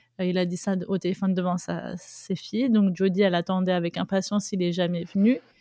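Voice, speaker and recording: A woman at medium pitch talks at a fairly quick pace in a dark, mellow tone with monotone, flat intonation. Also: hardly any pauses. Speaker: mother sharing personal story of abusive relationship. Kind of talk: testimony. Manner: halting.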